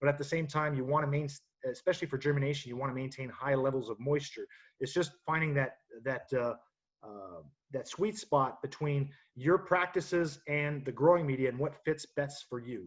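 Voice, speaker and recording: A man speaks somewhat breathily at a fairly high pitch, with ordinary pitch variation. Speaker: horticulture technical director. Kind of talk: webinar presentation. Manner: fast; halting, many fillers.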